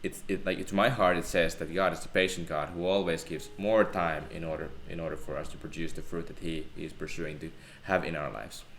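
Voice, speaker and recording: A man's very deep, low voice with a Finnish accent and audible room echo. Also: ordinary pitch variation. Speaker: theology student. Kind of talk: casual Bible discussion.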